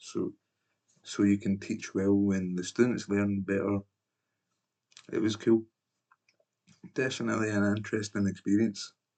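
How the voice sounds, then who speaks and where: In a Scottish accent, a man with a fairly low pitch and a dark, mellow tone speaks with monotone, flat intonation. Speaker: former English teacher. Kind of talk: personal video reflection. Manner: casual, filler-heavy.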